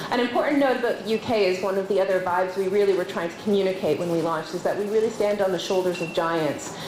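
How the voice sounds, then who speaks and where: A woman speaks very fast at a medium pitch, with ordinary pitch variation and hardly any pauses. Noticeable background noise runs underneath. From Canada. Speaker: nonprofit leader. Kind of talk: conference panel talk.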